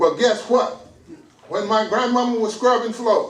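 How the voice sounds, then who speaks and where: A man's voice amid noticeable background noise. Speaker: pastor. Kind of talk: sermon.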